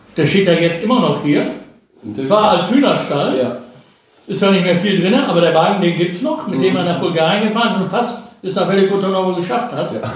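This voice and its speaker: A man talks at a fairly quick pace in a high pitch, his intonation lively. Noticeable background noise and audible room echo fill the recording. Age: 60s. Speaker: retiree, father of a host. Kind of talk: casual chat. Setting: visiting hosts in Bulgaria.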